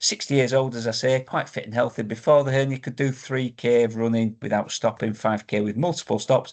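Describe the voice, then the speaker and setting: A man with a Yorkshire accent speaks at a moderate pace and medium pitch, his intonation fairly even, with hardly any pauses and a quiet background. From northern England, Yorkshire. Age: 60s. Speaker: vlogger sharing health experience. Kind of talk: casual personal vlog. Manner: hesitant, with frequent ums.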